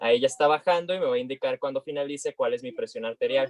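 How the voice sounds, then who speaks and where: A very fast-talking man is heard with a dry, close sound and no echo. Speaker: health sciences teacher. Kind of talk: online class demonstration.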